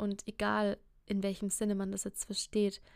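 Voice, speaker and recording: A woman with a medium pitch speaks at a fairly slow pace in a very clean recording with a silent background. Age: 20s. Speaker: podcast host, singer-songwriter. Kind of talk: solo podcast monologue. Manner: casual with many fillers.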